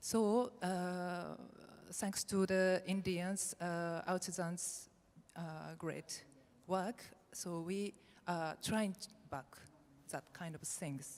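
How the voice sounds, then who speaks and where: A woman with a Japanese accent speaks very slowly in a fairly low pitch, with fairly even intonation and long, frequent pauses. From Japan, Nara. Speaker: textile designer. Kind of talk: conference presentation. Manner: halting, many fillers.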